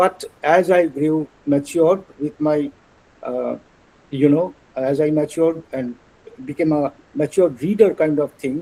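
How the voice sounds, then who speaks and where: Speaking with a Bengali accent, a man uses a fairly high pitch, fairly even intonation and a fairly slow pace. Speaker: translator and illustrator. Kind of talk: lecture. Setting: webinar. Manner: halting.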